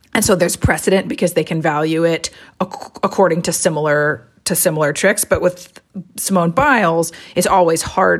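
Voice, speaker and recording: With a normal speaking voice, a woman talks at a fairly quick pace in a fairly low pitch with ordinary pitch variation. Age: 40s. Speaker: gymnastics writer. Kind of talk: interview.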